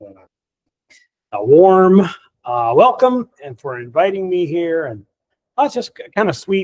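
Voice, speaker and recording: High-pitched and energetic, a man's voice makes very wide pitch swings in a dry, close sound with no echo. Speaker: Zen teacher and author. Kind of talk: dharma talk. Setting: hall with live audience. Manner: sometimes very quiet for emphasis.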